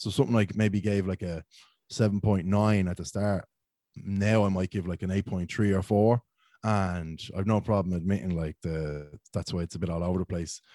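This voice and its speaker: A man with a Dublin accent talks at a moderate pace with fairly even intonation, his very deep, low voice dark and mellow in a dry, close sound with no echo, on a very clean recording with a silent background. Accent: Dublin-sounding Irish. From Ireland, County Meath (Ashbourne, near Dublin). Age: 20s. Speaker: beer reviewer and social media creator. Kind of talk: casual chat.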